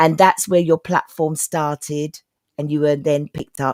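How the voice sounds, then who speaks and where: A woman with a very deep, low pitch and a London accent, in a dry, close sound with no echo. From East London. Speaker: talk show host. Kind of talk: interview.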